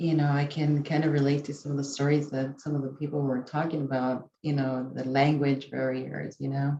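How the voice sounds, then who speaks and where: In a Spanish accent, a woman speaks at a fairly quick pace with hardly any pauses, her very deep, low pitch carrying a dark, mellow tone and monotone, flat intonation. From San Antonio, Texas. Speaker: college staff member. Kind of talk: casual sharing in a video call session.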